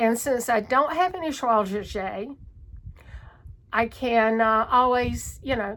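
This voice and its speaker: Speaking very slowly in a strong Southern US accent, a woman with a fairly high pitch uses ordinary pitch variation. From North Carolina, US South. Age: 60s. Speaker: cross stitch vlogger. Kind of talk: casual chat. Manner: halting.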